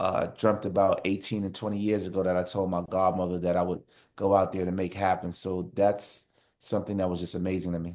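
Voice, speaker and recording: In a New York accent, a man with a very deep, low pitch talks at a fairly quick pace over a quiet background. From New York City (Harlem, then Far Rockaway, Queens). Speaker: TV producer. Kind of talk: interview. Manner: animated storytelling.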